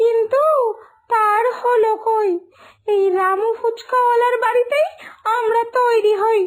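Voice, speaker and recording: A woman's cartoonish character voice, extremely high in pitch, at a fairly slow pace with very even loudness. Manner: complaining, wistful.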